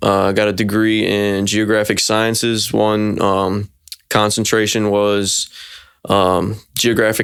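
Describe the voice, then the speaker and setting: In a Virginia accent, a man with a fairly low pitch speaks in a monotone, flat intonation. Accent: Virginia Southern American. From US South, Virginia (near Petersburg). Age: 20s. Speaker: forestry commodity manager. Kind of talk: interview.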